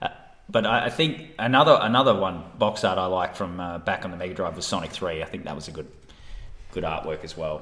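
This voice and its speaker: Very deep, low male tones delivered at a fairly quick clip. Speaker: podcaster. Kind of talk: casual chat.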